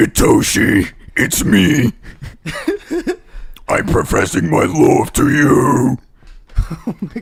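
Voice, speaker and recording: In a put-on character voice, a man talks at a very slow pace with long, frequent pauses and a fairly high pitch. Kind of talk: announcer voice. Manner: dramatic romantic declaration.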